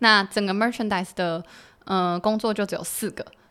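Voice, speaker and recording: A woman with a normal speaking voice talks at a fairly quick pace in a medium pitch with fairly even intonation, on a very clean recording with a silent background. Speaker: former work-and-travel participant. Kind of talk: casual interview chat.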